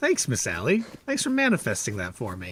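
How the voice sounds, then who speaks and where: Someone with an American accent talks at a fairly quick pace against noticeable background noise. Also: man. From northern Michigan. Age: 40s. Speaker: gaming streamer. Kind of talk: casual livestream chat. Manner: animated.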